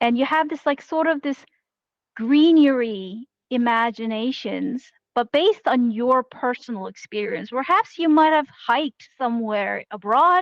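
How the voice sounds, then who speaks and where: A woman speaks in a high voice with a Korean accent and ordinary pitch variation. Her pace is moderate, and the sound is dry and close with no echo. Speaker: game jam organizer. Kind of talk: online panel discussion.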